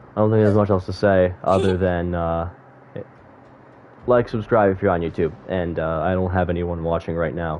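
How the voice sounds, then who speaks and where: A man speaks at a moderate pace with a very deep, low pitch. He leaves long, frequent pauses. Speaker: gaming streamer. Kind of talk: casual chat. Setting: live stream. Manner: halting, many fillers.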